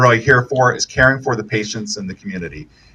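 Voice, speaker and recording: A man talks at a very fast pace with a medium pitch. His tone is bright and sharp, with vocal fry. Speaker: healthcare executive. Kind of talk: ribbon-cutting speech. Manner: loud; many filler words.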